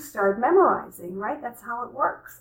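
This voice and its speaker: A woman speaks in a normal speaking voice, fairly high in pitch, at a moderate pace. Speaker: career coach. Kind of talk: tutorial.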